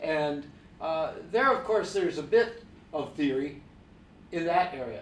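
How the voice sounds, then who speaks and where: The speaker talks at a fairly slow pace with lively intonation, long and frequent pauses, and audible echo from the room. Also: man, high pitch for a man. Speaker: professor. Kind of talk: panel discussion. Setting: stage with audience.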